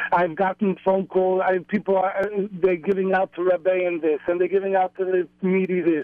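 Over noticeable background noise, a man talks at a moderate pace in a high, flat monotone. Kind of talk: casual chat. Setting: phone call.

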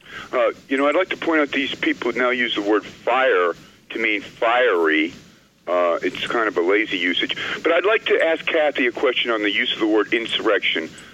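A man talks at a moderate pace while noticeable noise runs in the background. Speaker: caller. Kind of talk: radio call-in. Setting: phone call.

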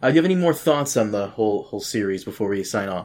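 A man with an American accent speaks in a normal speaking voice with lively intonation. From Brazil. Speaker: podcast host. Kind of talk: casual chat.

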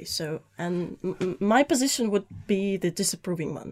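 A woman with a Russian accent and lively intonation. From Russia (Saint Petersburg). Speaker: journalism student. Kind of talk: studio interview. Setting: studio. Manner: halting.

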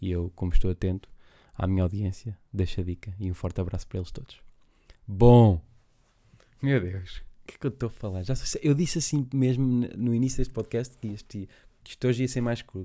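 A man with a European Portuguese accent talks at a fairly quick pace in a dark, mellow tone, his medium pitch moving with ordinary variation and broken by long, frequent pauses. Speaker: podcast host. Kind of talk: casual monologue. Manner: rambling, halting.

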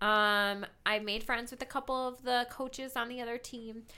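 In a very clean recording with a silent background, a woman with an American accent speaks at a moderate pace, her high-pitched voice bright and sharp in tone yet monotone and flat in intonation. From Metro Detroit. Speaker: recurring guest. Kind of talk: casual chat.

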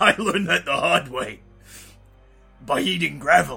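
Clear music plays in the background as a man does a raspy, put-on character voice. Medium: audio drama. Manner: rambling, folksy.

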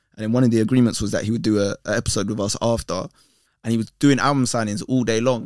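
With a London accent, a man talks very fast at a medium pitch and fairly even intonation, in a very clean, dry, close recording with a silent background and no echo. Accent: London Multicultural English. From north London, England. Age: 30s. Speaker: presenter and content creator. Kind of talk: casual chat.

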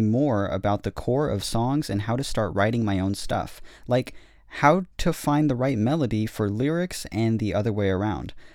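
Over a silent background in a very clean recording, a plain, everyday voice moves at a moderate pace with ordinary pitch variation. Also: man. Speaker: podcast host. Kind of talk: casual chat. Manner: joking, playful.

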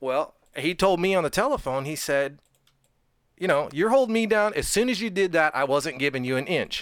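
This man's voice is high-pitched and animated, with lively intonation and a fairly quick pace. The recording is very clean, and the background is silent. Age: 50s. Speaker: amateur race car driver. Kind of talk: casual studio interview. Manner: animated, laughs often while talking.

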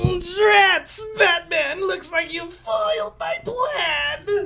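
This is a put-on character voice at an extremely high pitch. It moves at a very slow pace with very wide pitch swings.

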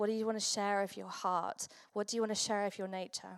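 A woman talks at a fairly quick pace with an English accent. Her medium-pitched voice keeps a fairly even intonation. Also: very clean recording, silent background. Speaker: pastor. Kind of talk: sermon. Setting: church.

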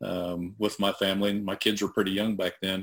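This man speaks with an American accent at a moderate pace. His pitch is fairly low. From northeastern Oklahoma, US. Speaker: aircraft broker and pilot. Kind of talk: interview conversation.

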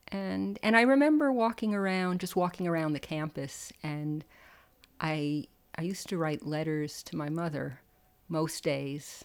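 The speaker has a plain, everyday voice with lively intonation. The pace is fairly slow. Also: woman, fairly low pitch for a woman, very clean recording, silent background. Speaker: alumna and second-grade teacher. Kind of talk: interview.

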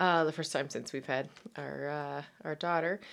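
On a very clean recording with a silent background, a woman talks at a fairly quick pace with ordinary pitch variation. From Canada, Newfoundland. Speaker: podcast host and women's empowerment coach. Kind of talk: casual monologue podcast. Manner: hesitant, many fillers and repetitions.

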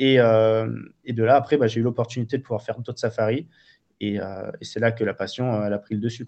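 The delivery is flat and monotone at a fairly quick pace. The background is quiet. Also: man, medium pitch for a man. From Marseille, southern France. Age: 30s. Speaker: wildlife photographer and filmmaker. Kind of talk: interview. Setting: remote call.

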